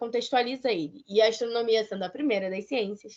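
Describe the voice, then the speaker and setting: A woman's high pitch, ordinary pitch variation and very fast pace against a quiet background. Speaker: museum science educator. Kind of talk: lecture.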